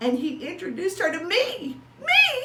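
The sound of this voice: A woman puts on a cartoonish character voice at an extremely high pitch, with a bright, sharp tone and very wide pitch swings. She goes at a fairly slow pace, and audible room echo can be heard.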